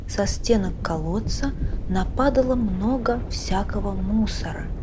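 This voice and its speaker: Noticeable background noise surrounds a woman speaking at a very slow pace. Her tone is calm. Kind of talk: audiobook reading of a short story.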